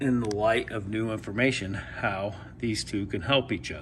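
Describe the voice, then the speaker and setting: With vocal fry, a man speaks in a fairly low pitch and fairly even intonation. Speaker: Bigfoot researcher. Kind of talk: tutorial.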